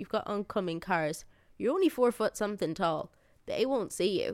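In a passionate tone, a woman speaks with an Irish accent on a very clean recording with a silent background. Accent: Irish (Sligo). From Ireland, County Sligo. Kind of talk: interview.

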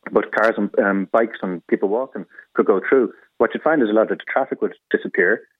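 Here a man speaks with an Irish accent. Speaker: cycling parent. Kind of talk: radio phone-in. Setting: phone call.

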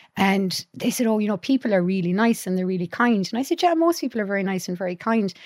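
In a very clean recording with a silent background and a dry, close sound with no echo, a woman talks at a very fast pace with lively intonation at a medium pitch. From Ireland, County Clare. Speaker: psychologist and university lecturer. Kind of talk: casual chat. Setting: studio.

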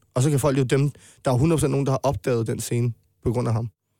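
On a very clean recording with a silent background and a dry, close sound with no echo, a man speaks at a very fast pace. His voice is dark and mellow, medium in pitch and monotone, with flat intonation. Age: 20s. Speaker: rapper. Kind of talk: casual chat.

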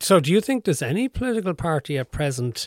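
Speaking at a fairly quick pace with an Irish accent, a man comes through in a dry, close sound with no echo. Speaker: radio host and interviewer. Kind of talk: interview. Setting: kitchen table at home.

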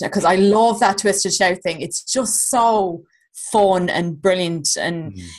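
A woman in a west of Ireland accent, medium pitch and ordinary pitch variation. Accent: Irish (rural west). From County Clare, Ireland. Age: 30s. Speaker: comedian and podcast co-host. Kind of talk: casual chat.

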